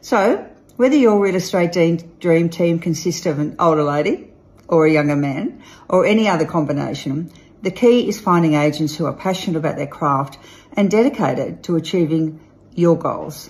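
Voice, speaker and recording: A woman speaks at a moderate pace with an Australian accent. Her fairly low voice is somewhat breathy, with ordinary pitch variation. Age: old. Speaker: real estate agent and auctioneer. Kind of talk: casual talk to camera, promotional message. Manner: playful, upbeat. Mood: playful, tongue-in-cheek. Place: home room. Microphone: phone near.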